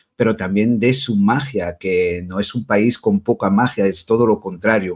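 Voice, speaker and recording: Lively intonation runs through a man's medium-pitched voice. He goes at a fairly slow pace. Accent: Asturian. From Belgium, Brussels, Spanish parents. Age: 40s. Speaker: witch and tarot reader. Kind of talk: interview.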